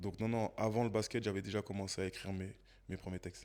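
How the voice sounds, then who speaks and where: An unremarkable speaking voice from a man, fairly low in pitch, with fairly even intonation on a very clean recording with a silent background. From Paris suburbs, Seine-Saint-Denis (93). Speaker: podcast guest, former basketball coach and rapper. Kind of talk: interview conversation.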